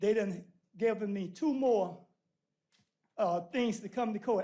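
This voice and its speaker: A man's voice sits high in pitch with ordinary variation. He speaks at a moderate pace. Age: 70s. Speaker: citizen speaking at public comment. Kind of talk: public comment. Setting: city council meeting. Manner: animated.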